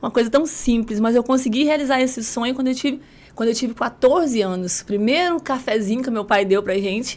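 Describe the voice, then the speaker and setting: A fairly quick pace with ordinary pitch variation. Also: woman, high pitch for a woman. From rural southern Espírito Santo, Brazil. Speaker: lawyer and women's mentor. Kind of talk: podcast interview, life story.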